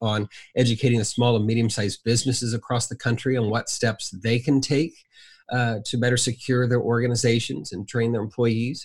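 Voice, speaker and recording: A man with an American accent sounds somewhat breathy. The recording is very clean, with a silent background. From Southern Indiana. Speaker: cybersecurity educator at a nonprofit. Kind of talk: casual interview.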